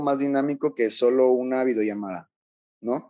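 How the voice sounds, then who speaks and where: A man with a medium pitch and ordinary pitch variation speaks at a moderate pace. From southern Mexico, Chiapas coast. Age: 20s. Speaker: energy engineer and youth organization founder. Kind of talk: interview. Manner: halting, many fillers.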